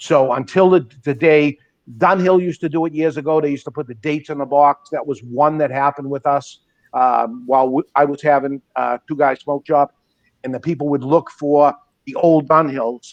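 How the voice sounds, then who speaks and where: A man's unremarkable speaking voice, fairly high in pitch, at a moderate pace, with a dry, close sound and no echo. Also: fairly even intonation. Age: 60s. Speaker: cigar shop owner. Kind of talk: casual chat.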